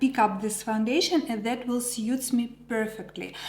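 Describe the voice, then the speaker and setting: A woman speaks with a Ukrainian accent. Noticeable background noise runs under her voice. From Ukraine. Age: 40s. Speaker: makeup artist. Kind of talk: product review vlog. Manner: hesitant with many fillers.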